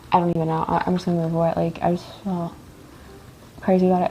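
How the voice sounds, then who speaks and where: Very fast speech from a woman with a fairly low pitch against noticeable background noise. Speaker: live streamer / content creator. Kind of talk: casual live stream chat. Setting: livestream from home. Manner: loud; rambling, filler-heavy casual speech. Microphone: echoey room.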